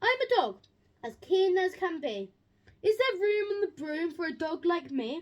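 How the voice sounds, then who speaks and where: Moderate pacing in a put-on character voice. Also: woman, extremely high pitch for a woman. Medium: read story. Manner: eager.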